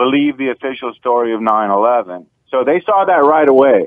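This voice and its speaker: With an American accent, a man speaks in an ordinary speaking voice at a moderate pace with ordinary pitch variation. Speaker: caller. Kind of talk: talk radio call-in. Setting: phone call.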